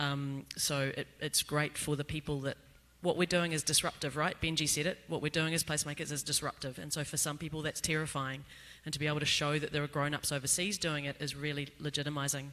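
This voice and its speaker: A man with a New Zealand accent talks very fast at a fairly high pitch, his bright, sharp tone held in a flat monotone, on a very clean recording with a silent background. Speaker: placemaker panelist. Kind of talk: panel discussion. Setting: stage with audience.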